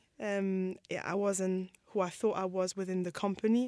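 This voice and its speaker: A woman's medium-pitched voice at a fairly slow pace, dry and close with no echo, on a very clean recording with a silent background. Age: 30s. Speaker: designer. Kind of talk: interview. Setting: studio. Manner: halting.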